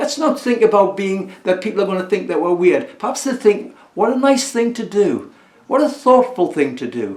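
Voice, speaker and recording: A man's high-pitched voice with lively intonation at a moderate pace, over noticeable background noise. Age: 70s. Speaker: community listening service volunteer. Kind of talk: recorded talk to camera. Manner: halting.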